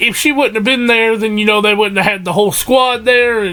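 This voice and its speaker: A man's high-pitched, raised and projected voice over noticeable background noise. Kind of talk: casual talk to camera. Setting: broken mic. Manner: rambling.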